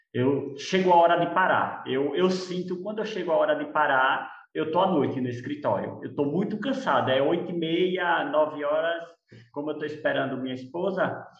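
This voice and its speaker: Audible room echo surrounds a man talking at a moderate pace with a fairly high pitch and ordinary pitch variation. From Brazil, Sergipe (Lagarto). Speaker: architect and business owner. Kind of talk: casual chat.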